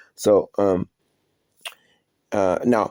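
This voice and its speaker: This man has an American accent and a dark, mellow tone, using ordinary pitch variation in a dry, close sound with no echo. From Florida. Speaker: online commentator. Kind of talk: personal video statement. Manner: halting, many fillers and repetitions.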